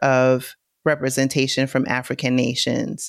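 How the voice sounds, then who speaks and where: Recorded dry and close with no echo, a woman with an American accent speaks at a very deep, low pitch. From US Northeast, New York City (Bronx). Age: 40s. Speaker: travel influencer and digital marketer. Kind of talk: casual interview.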